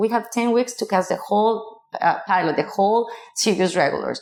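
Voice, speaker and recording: Speaking at a fairly quick pace, a woman with a Mexican accent uses a fairly high pitch and ordinary pitch variation. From Mexico, small city. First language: Spanish. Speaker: casting director. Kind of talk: interview conversation. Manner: halting, with fillers and restarts.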